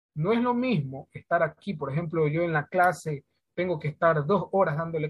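With a high pitch for a man, he talks at a moderate pace and ordinary pitch variation. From Ecuador, Santa Elena province. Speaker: schoolteacher. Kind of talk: interview. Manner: hesitant, many fillers.

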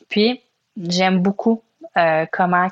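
Someone in a Quebec accent talks at a very slow pace. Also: woman. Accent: Québécois French. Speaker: podcast host. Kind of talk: solo reflective monologue. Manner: hesitant with fillers.

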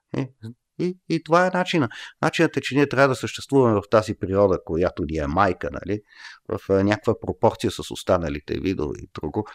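A man at a fairly low pitch with very wide pitch swings and a fairly quick pace, on a very clean recording with a silent background and a dry, close sound with no echo. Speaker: professor. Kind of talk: casual chat. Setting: studio.

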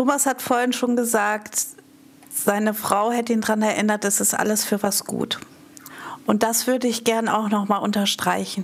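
This woman has a fairly high pitch and a monotone, flat intonation, with very even loudness at a moderate pace. Noticeable background noise sits behind her. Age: 50s. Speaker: party board member. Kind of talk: interview.

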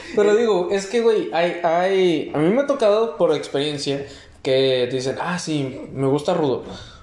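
In a Mexican accent, a man talks at a fairly slow pace with a high pitch and lively intonation. Audible room echo and noticeable background noise surround his voice. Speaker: podcast host. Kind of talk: casual chat.

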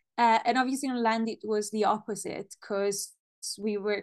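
A woman's fairly high, monotone, flat voice with an Italian accent over a quiet background. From Italy. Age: 30s. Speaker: language teacher. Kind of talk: interview. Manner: halting.

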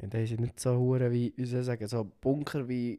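In a very clean recording with a silent background, a man speaks at a moderate pace and medium pitch with a dark, mellow tone. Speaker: podcast co-host. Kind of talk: casual chat. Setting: sitting on a sofa.

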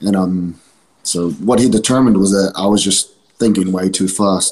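A man with a New Zealand accent speaks at a moderate pace in a very deep, low register, his intonation fairly even. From New Zealand, East Auckland. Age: 20s. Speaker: professional wrestler. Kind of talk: casual chat.

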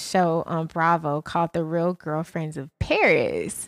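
The speaker talks at a fairly slow pace with an Atlanta accent. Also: woman, dry, close sound with no echo. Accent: Southern US, Atlanta. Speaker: podcast co-host. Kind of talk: casual chat, podcast banter.

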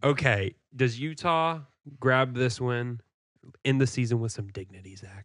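Speaking fairly slowly in an ordinary speaking voice, a man uses medium pitch and ordinary pitch variation. His loudness swings widely on a very clean recording with a silent background. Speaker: podcast host. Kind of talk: casual sports chat.

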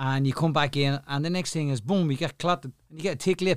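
A man with an Irish accent talks at a fairly quick pace with ordinary pitch variation. The sound is dry and close with no echo, on a very clean recording with a silent background. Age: 50s. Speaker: boxing cut man. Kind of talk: casual interview. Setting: studio.

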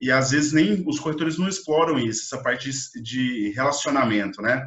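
A man's normal speaking voice, fairly high in pitch, with ordinary pitch variation at a moderate pace. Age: 20s. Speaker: podcast host. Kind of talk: interview.

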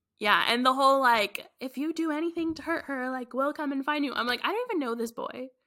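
A woman's raised, projected voice, high-pitched with a bright, sharp tone, at a very fast pace with ordinary pitch variation, in a very clean recording with a silent background. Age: 20s. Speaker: podcast co-host. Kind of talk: casual chat.

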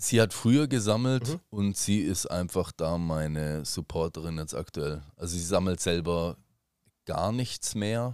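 A man's very deep, low voice with lively intonation at a fairly slow pace. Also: very clean recording, silent background. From Germany. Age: 30s. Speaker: Pokémon card collector and streamer. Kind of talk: casual chat.

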